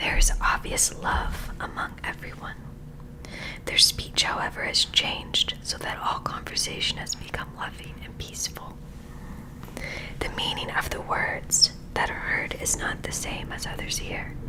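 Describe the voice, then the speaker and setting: A woman whispering in a calm tone at a fairly slow pace, with big swings in loudness and noticeable background noise. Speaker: ASMR creator. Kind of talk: ASMR spiritual book reading. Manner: soft, calm, whispery.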